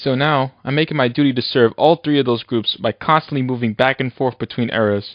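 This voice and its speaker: Speaking at a fairly quick pace, a man uses an ordinary speaking voice at medium pitch. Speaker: animator and YouTube creator. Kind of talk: retrospective narration. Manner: casual.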